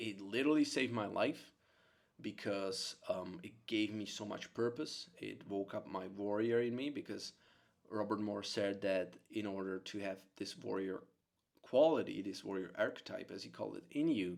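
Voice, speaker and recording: A man with a Czech accent speaks at a moderate pace. His pitch is fairly low, with ordinary variation. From Czech Republic. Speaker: psychotherapist. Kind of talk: monologue to camera. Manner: animated.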